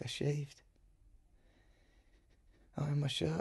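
Using a put-on character voice, a man speaks fairly high with vocal fry, a husky, rough edge and a slightly mellow tone. His intonation is monotone and flat, and his pace is slow.

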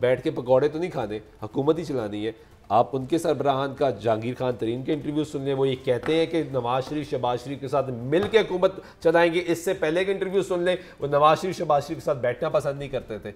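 A man speaks at a moderate pace with a fairly high pitch for a man and ordinary pitch variation. He has an unremarkable speaking voice. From Pakistan. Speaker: political scientist; guest. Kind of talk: panel discussion. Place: studio. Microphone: lapel.

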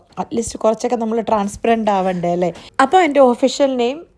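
A woman's fairly high-pitched voice with a dark, mellow tone and ordinary pitch variation. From Kerala, Kottayam. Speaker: vlogger and nurse. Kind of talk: casual vlog monologue.

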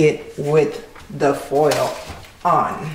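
A woman speaks with a very deep, low pitch and fairly even intonation. Audible room echo and light background noise surround her. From Haiti. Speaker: cooking channel host. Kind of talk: cooking tutorial. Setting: home kitchen. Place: kitchen. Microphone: phone near.

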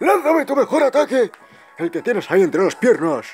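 A man's put-on character voice, extremely high-pitched, with very wide pitch swings and a fairly quick pace. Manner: bombastic, theatrical.

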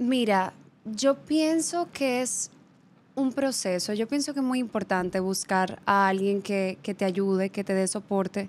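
Talking at a fairly slow pace, a woman uses lively intonation. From Dominican Republic. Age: 20s. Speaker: model and actress; actress. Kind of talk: casual interview. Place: studio. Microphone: studio mic.

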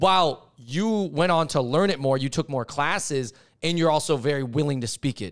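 A man with an unremarkable speaking voice talks at a moderate pace, pitched fairly high. His pitch varies in an ordinary way, and the background is quiet. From US. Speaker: podcast host. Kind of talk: casual chat. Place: studio. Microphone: studio mic.

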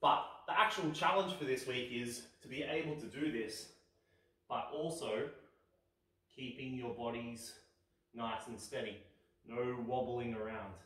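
Pausing long and often, a man speaks at a fairly slow pace with ordinary pitch variation in a room with audible echo. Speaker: fitness instructor. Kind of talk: instructional kids' exercise video; exercise instruction for kids. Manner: clear, calm, encouraging. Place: home room. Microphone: camera far.

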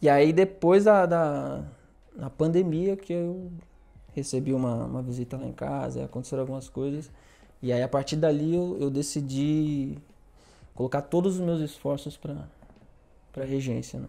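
A man's fairly high voice in a dark, mellow tone, broken by long, frequent pauses. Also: ordinary pitch variation, moderate pace. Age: 30s. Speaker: orchestra conductor and violist; guest. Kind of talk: casual chat. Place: studio. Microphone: lapel.

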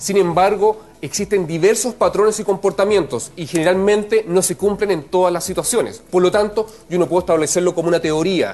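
A man with a high pitch talks at a fairly quick pace, with hardly any pauses and fairly even intonation. Noticeable background noise sits under the voice. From Chile. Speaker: geographer. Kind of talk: explanatory TV interview.

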